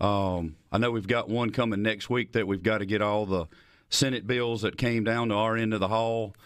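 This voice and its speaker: A man with a Southern US accent speaks at a moderate pace, fairly low in pitch, with fairly even intonation. His loudness is very even against a quiet background. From rural Mississippi, Lincoln County. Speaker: state legislator and farmer. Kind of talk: political interview. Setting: studio. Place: studio. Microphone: studio mic.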